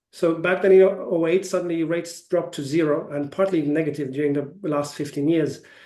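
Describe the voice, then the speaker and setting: A man with a German accent talks at a very fast pace, his high pitch carrying a dark, mellow tone and fairly even intonation. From Germany. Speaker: ETF sales executive. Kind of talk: webinar Q&A. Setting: online webinar. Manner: hesitant, many fillers.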